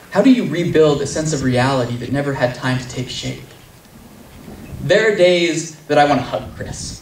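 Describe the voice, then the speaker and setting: A man with a fairly high pitch and an intense tone, at a moderate pace with ordinary pitch variation, over noticeable background noise. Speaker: poet. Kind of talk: live slam poetry performance. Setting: live outdoor event. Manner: intense, earnest.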